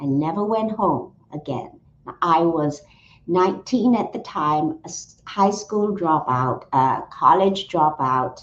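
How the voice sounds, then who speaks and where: A woman talks at a very slow pace, her intonation lively. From Singapore. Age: 70s. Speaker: lawyer and opera creator. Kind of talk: interview.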